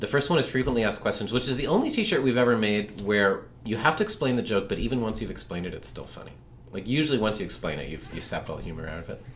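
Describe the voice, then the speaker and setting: This man talks at a very fast pace with lively intonation and a medium pitch. His loudness swings widely, and the room echo is audible. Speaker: comic strip creator and podcast co-host. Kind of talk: casual chat.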